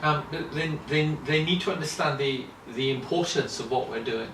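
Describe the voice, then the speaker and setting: Audible room echo hangs around the voice of a speaking man. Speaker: children's ministry lecturer. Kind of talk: interview. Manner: halting, many fillers and repetitions.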